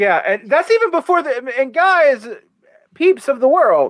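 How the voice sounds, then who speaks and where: Here a man talks with an American accent. His pitch is extremely high. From US South. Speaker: political theory podcast co-host. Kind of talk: casual discussion and reading aloud of a text.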